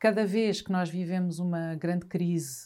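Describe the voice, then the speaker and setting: In a plain, everyday voice, a woman with a fairly low pitch talks at a fairly slow pace on a very clean recording with a silent background. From northern Portugal, Trás-os-Montes (Vila Real). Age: 50s. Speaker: journalist and writer. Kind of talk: casual chat.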